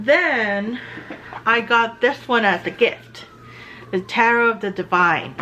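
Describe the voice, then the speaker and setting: Over music in the background, a woman speaks very slowly at a fairly high pitch, with ordinary pitch variation and long, frequent pauses. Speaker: artist and tarot video maker. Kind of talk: casual chat. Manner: halting.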